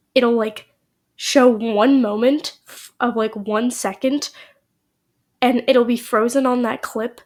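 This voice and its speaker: A woman with a high voice speaks very slowly in a flat monotone, her loudness swinging widely between long, frequent pauses. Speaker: gaming YouTuber. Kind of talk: casual vlog update.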